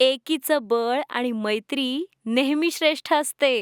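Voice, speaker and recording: A woman speaks at a high pitch, and the sound is dry and close with no echo. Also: ordinary pitch variation, very clean recording, silent background. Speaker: voice-over artist. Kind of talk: children's story narration. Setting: studio.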